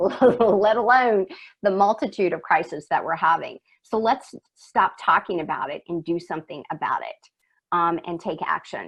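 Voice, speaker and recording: Here a woman has an unremarkable speaking voice at medium pitch. Her intonation is lively, with big swings in loudness. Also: moderate pace. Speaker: workplace culture consultant. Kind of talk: webinar presentation.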